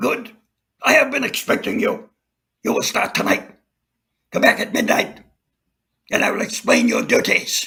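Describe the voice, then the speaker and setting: A man puts on a raspy character voice at an extremely high pitch. He goes at a moderate pace with long, frequent pauses. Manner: calm, authoritative.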